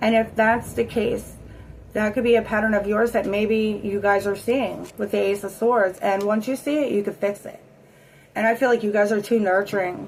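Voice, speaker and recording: A woman talks at a moderate pace in a fairly high pitch. Her intonation stays fairly even. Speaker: tarot reader. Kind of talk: tarot reading. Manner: casual; shaky voice.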